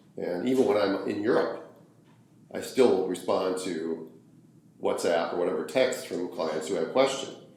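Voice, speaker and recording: Audible room echo surrounds a man who speaks at a moderate pace with long, frequent pauses. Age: 60s. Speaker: obstetrician. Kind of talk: interview. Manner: halting, repeats words.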